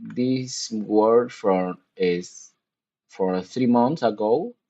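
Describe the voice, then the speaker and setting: Speaking at a very slow pace, a man with a Spanish accent has a dark, mellow tone. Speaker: gaming streamer. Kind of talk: casual live-stream chat. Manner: halting, many restarts.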